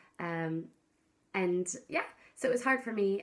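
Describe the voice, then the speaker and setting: This woman has a medium pitch and speaks with an American accent. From US Pacific Northwest, Seattle. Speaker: vlogger. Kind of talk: casual vlog talk to camera. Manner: bubbly, loud.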